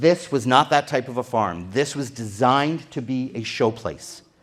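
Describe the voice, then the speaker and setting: A man speaks in a normal speaking voice at a medium pitch. He goes fairly slowly, with ordinary pitch variation. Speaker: tour guide and historical society speaker. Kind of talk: illustrated history talk. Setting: dinner program at a pavilion with audience.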